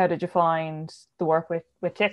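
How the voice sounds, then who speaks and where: In an Irish accent, a woman speaks at a moderate pace with a fairly low pitch. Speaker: podcast host. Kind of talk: casual chat.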